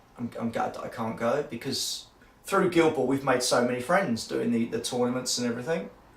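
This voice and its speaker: Noticeable background noise sits behind a man talking at a medium pitch and a fairly quick pace with ordinary pitch variation. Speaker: tabletop gaming YouTuber. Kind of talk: personal video diary.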